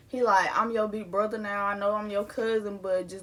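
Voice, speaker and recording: Over noticeable background noise, the speaker talks at a very fast pace in an animated tone. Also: woman. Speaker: YouTuber telling personal stories. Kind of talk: storytime vlog.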